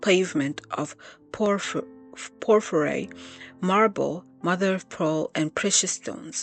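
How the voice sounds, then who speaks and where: Music plays in the background as a voice speaks at a very slow pace with ordinary pitch variation. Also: woman. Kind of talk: Bible reading. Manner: reading aloud with occasional stumbles.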